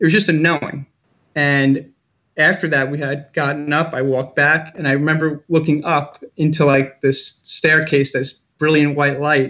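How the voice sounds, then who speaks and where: A man with an American accent speaks at a moderate pace in a fairly high pitch, his intonation flat and monotone. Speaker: school social worker. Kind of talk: casual interview.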